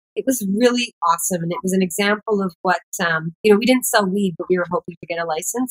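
A woman speaks at a very fast pace in an animated, enthusiastic tone. Her pitch varies in an ordinary way, and the background is quiet. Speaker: cannabis activist and entrepreneur; podcast guest. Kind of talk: podcast interview. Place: home room. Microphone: webcam.

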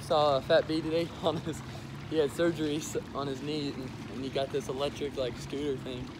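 A man's monotone, flat delivery, dry with no echo, over noticeable background noise. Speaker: vlogger. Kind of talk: casual vlog chat. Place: waterside.

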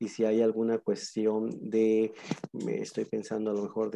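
Speaking with a fairly low pitch, a man has a dark, mellow tone.

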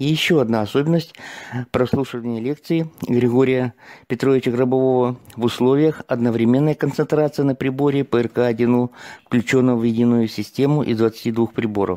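A man's dark, mellow voice at medium pitch and moderate pace, fairly even in intonation, with a dry, close sound with no echo on a very clean recording with a silent background. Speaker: seminar participant. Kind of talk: testimony. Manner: formal.

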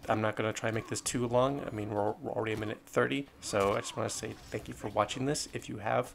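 Talking very fast with hardly any pauses, a man uses a fairly low pitch with ordinary pitch variation and vocal fry. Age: 20s. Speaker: gaming youtuber. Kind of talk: casual vlog address to viewers. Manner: hesitant, filler-heavy.

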